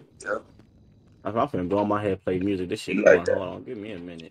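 Talking at a very fast pace, a man leaves long, frequent pauses, and his loudness swings widely. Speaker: gamer and amateur rapper. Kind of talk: casual chat during roleplay game stream. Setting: online voice chat while gaming. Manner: animated.

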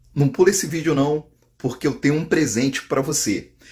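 A man speaks at a fairly high pitch, somewhat breathy. The background is quiet. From Brazil. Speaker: online drywall course instructor. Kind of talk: direct-to-camera sales pitch, promo. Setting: video to camera, online. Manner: warm, persuasive, friendly. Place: home room. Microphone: phone near.

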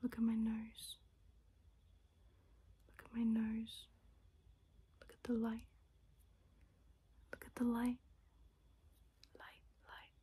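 A soft-spoken woman talks in a calm, gentle tone. She goes at a very slow pace, with long, frequent pauses. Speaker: ASMR creator. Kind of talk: ASMR soft-spoken instruction video. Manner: soft-spoken, calm, gentle. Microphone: phone near.

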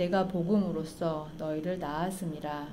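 Fairly even intonation at a fairly slow pace, over light background noise. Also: woman. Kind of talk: scripture reading. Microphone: studio mic.

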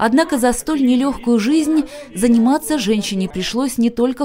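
A woman with a fairly high voice speaks at a moderate pace with lively intonation over noticeable background noise. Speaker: news reporter. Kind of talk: TV news voice-over.

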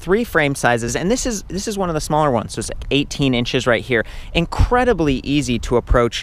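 A man speaks at a fairly quick pace. His pitch swings very widely. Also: dry sound with no echo. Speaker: bike reviewer. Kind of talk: product review commentary. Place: open country. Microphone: phone near.

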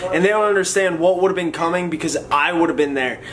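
A man speaks with a high pitch and fairly even intonation. Noticeable background noise runs behind him. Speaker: vlogger. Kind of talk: casual vlog chat.

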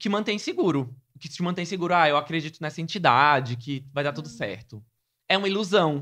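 A man talks at a fairly quick pace in a fairly high, bright, sharp voice with lively intonation and big swings in loudness. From Brazil, Sergipe (Aracaju). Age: 20s. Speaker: journalist and content creator. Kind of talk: casual interview.

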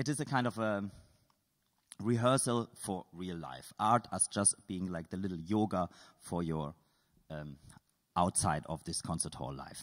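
Speaking with a non-native accent at a fairly slow pace, a man with a very deep, low pitch uses lively intonation and takes long, frequent pauses against a quiet background. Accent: non-native English, noticeable foreign. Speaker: artist and composer; artist giving a lecture. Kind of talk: lecture with audience exercises. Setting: stage with audience, microphone. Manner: informal, playful; halting. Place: stage. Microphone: handheld.

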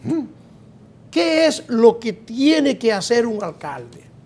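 The pace is very slow. The tone is dark and mellow. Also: man. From Dominican Republic. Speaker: talk show host. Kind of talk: talk show interview. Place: studio. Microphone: lapel.

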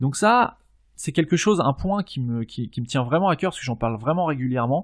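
Somewhat breathy and fairly high in pitch, a man speaks with lively intonation on a very clean recording with a silent background. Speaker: podcast host, e-commerce entrepreneur. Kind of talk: solo podcast tutorial. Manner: hesitant, many fillers and repetitions.

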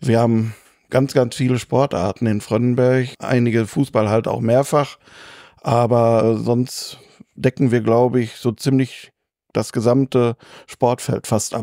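A man's dark, mellow, medium-pitched voice, monotone and flat at a very slow pace, dry and close with no echo, in a very clean recording with a silent background. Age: 50s. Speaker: sports club chairman. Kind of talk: interview.

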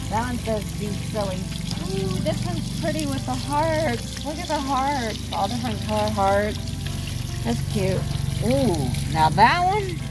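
A woman speaks at a fairly slow pace. Clear music plays in the background. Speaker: vlogger. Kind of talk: casual vlog chat. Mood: relaxed, curious. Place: street. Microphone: phone near.

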